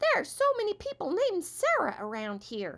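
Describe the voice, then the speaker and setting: A woman talks in a squeaky, put-on character voice with extremely high pitch. Her pace is moderate. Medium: read story. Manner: chirpy, folksy.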